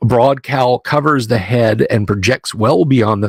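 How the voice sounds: The clip has a natural reading voice.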